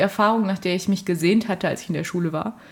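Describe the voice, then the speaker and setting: Her intonation monotone and flat, a woman speaks at medium pitch and a fairly quick pace. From Germany, Fulda (Hesse). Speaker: university student. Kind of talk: casual chat. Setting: studio in a flat.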